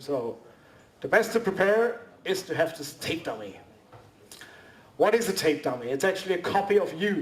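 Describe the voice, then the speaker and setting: At a moderate pace with long, frequent pauses, a man speaks at high pitch with lively intonation. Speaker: costume maker, convention panelist. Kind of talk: workshop presentation. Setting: convention panel with audience. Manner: halting.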